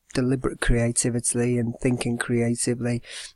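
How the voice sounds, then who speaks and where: Recorded very cleanly against a silent background, a man speaks at a medium pitch with an English accent. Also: dry, close sound with no echo. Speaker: secondary school business teacher. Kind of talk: educational tutorial. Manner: fast.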